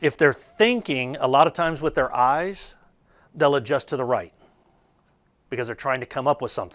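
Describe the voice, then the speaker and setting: In a very clean recording with a silent background, a man with a fairly high pitch speaks at a moderate pace with long, frequent pauses. His tone is animated and his intonation lively. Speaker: sales trainer. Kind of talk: training presentation. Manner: animated, uses hands a lot.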